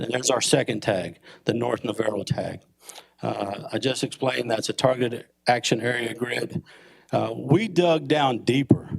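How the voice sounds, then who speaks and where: At a moderate pace, a man with a medium-pitched voice and vocal fry speaks with ordinary pitch variation. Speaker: police chief. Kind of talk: presentation to city council. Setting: council meeting chamber.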